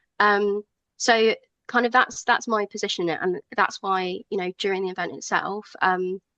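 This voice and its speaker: A woman speaks at a medium pitch in a southern English accent. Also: moderate pace, dry, close sound with no echo. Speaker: rally organiser, ally. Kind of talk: radio interview. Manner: hesitant, many fillers.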